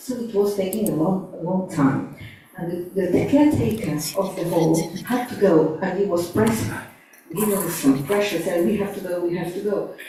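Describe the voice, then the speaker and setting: A woman speaks at a medium pitch and a moderate pace with ordinary pitch variation. Audible room echo and noticeable background noise fill the recording. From Portugal. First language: Portuguese. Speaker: early member sharing memories. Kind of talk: testimony. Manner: halting. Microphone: poor sound at start.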